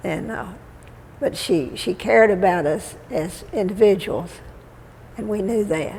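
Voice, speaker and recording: In a Texan accent, a woman talks at medium pitch with lively intonation and big swings in loudness. She leaves long, frequent pauses, and the room echo is audible. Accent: Texan Southern. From Texas (Waco, Central Texas). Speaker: elderly resident sharing life story. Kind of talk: oral history interview. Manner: halting.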